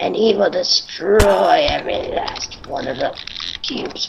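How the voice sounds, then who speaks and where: Using a put-on character voice, a woman takes a solemn, playful tone at a fairly slow pace and a fairly high pitch. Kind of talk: mock-dramatic storytelling. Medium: game stream. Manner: solemn, spooky, playful.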